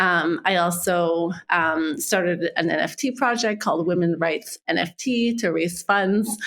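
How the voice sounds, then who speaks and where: A woman's fairly low voice in a Quebec accent, fairly slow with hardly any pauses, very even in loudness and ordinary in pitch variation, on a very clean recording with a silent background. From Quebec City, Canada. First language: French. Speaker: marketing executive. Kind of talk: interview.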